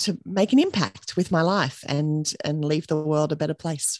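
A woman with an Australian accent talks at a fairly slow pace in a very deep, low pitch with ordinary pitch variation. The sound is dry and close with no echo, over a quiet background. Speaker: business owner and mother. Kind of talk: casual interview chat.

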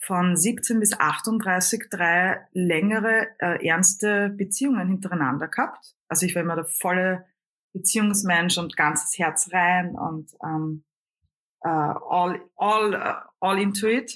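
A woman talks in an Austrian accent. Her pace is very slow, her pitch variation ordinary. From Lower Austria. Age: 40s. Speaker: singer, comedian and coach. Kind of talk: interview. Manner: hesitant fillers.

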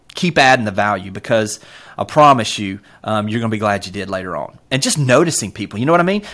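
Speaking very fast in a Southern US accent, a man uses a medium pitch and lively intonation. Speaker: real estate brokerage executive. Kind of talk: casual interview. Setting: video call. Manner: fast talker.

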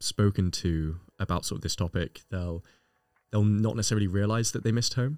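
A man's fairly low, dark, mellow voice comes through with a dry, close sound and no echo. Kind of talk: casual podcast chat.

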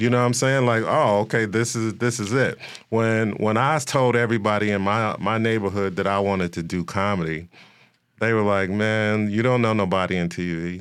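Speaking at a moderate pace in an American accent, a man with a fairly low pitch and fairly even intonation has a plain, everyday voice. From Chicago, West Side. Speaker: comedian and actor. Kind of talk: casual interview.

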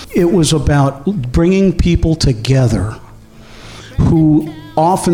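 A man speaks with music playing in the background. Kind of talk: interview.

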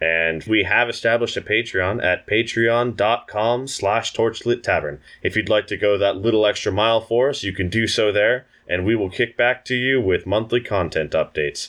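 A man speaks in an ordinary speaking voice at a medium pitch, with ordinary pitch variation, very even loudness and hardly any pauses. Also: moderate pace. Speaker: player in a tabletop RPG podcast, outro speaker. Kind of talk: casual banter and podcast outro.

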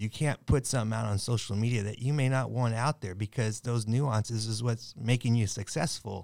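On a very clean recording with a silent background, a man with a plain, everyday voice talks in a medium pitch at a fairly quick pace with hardly any pauses. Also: fairly even intonation. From Southern California, Long Beach. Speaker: firefighter union president. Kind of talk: casual roundtable discussion.

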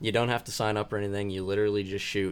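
Here a man talks with a western Pennsylvania accent, his pitch fairly low. The recording is very clean, with a silent background. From Clarion County, Pennsylvania. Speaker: bow hunting contest moderator. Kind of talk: casual chat.

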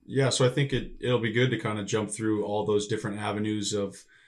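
A man with an American accent, fairly low-pitched and monotone, at a moderate pace, on a very clean recording with a silent background. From US Midwest, northern Illinois. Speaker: podcast co-host, professional volleyball player. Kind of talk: casual chat.

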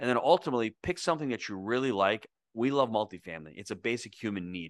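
A man with a plain, everyday voice speaks fairly quickly at medium pitch with lively intonation, recorded with a dry, close sound with no echo over a quiet background. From New York, US, to Italian immigrant parents. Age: 50s. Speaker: real estate investor and coach. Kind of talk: interview.

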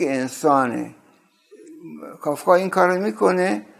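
This man's voice sits at a fairly high pitch. His intonation is lively. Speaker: university professor and literary translator. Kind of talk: interview monologue.

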